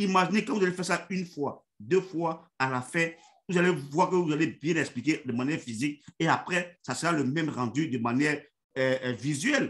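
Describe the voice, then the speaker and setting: With lively intonation, a man speaks at a moderate pace and a fairly high pitch. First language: Yacouba (Dan) (speaking French). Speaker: network marketing leader. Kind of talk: motivational online meeting talk. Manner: halting, many fillers and repetitions.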